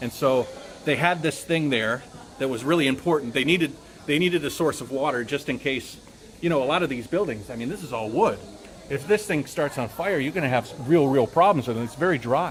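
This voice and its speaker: An American-accented man speaks at a fairly quick pace and a fairly high pitch with ordinary variation. Background noise is noticeable. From United States. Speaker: travel YouTuber and tour host. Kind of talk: live-stream tour commentary. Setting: outdoors at a temple. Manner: loud; casual, with fillers and repetitions.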